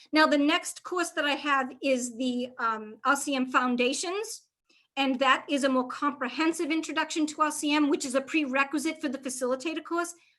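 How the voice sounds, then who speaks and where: A woman talks at a moderate pace in a high pitch with a bright, sharp tone and ordinary pitch variation. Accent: Boston. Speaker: reliability trainer. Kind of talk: live webinar Q&A. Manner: casual, conversational.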